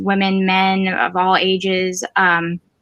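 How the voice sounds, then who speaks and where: Over music in the background, a woman speaks at a medium pitch with monotone, flat intonation. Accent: American. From Florida. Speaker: mental health panelist. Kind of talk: panel discussion.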